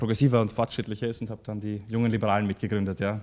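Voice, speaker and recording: A man at a very fast pace. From Austria, Styria (Graz). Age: 30s. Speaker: political candidate. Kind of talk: interview. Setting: studio. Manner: hesitant, many fillers.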